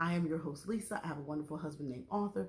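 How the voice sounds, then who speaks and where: A woman talks at a very fast pace, somewhat breathy, with ordinary pitch variation. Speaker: YouTube TV show reviewer. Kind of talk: casual vlog review. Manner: soft-spoken.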